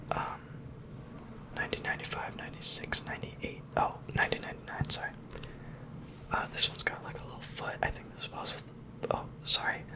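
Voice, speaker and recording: A man whispers at a fairly quick pace, with long, frequent pauses. His loudness swings widely over noticeable background noise. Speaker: ASMR creator. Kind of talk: ASMR whispered show-and-tell. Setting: home recording with some background noise. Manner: whispered.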